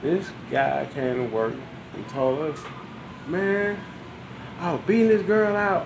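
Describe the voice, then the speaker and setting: Very slow speech in an American accent, with long, frequent pauses, very wide pitch swings, noticeable background noise and audible room echo. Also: man, high pitch for a man. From US South. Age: 40s. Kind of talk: casual chat. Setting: garage. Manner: animated.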